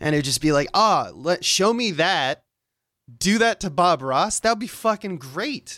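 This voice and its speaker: A man's raised, projected voice, high-pitched with a bright, sharp tone and very wide pitch swings, at a moderate pace, in a dry, close sound with no echo and a very clean recording with a silent background. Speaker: guest co-host. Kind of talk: casual chat.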